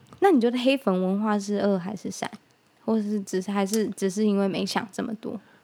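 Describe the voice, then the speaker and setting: At a fairly quick pace, a woman with a medium pitch speaks in an ordinary speaking voice with fairly even intonation. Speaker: podcast co-host. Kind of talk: casual chat.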